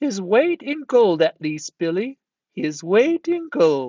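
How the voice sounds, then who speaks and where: A man puts on a character voice pitched high for a man. He goes at a fairly slow pace, his pitch swinging very widely. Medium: read story. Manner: snickering, echoing.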